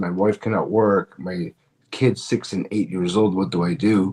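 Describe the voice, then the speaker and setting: In a Canadian accent, a man talks at a fairly slow pace with a fairly low pitch, ordinary pitch variation, and an ordinary speaking voice. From Canada, Toronto (Filipino parents). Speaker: comedian. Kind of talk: interview.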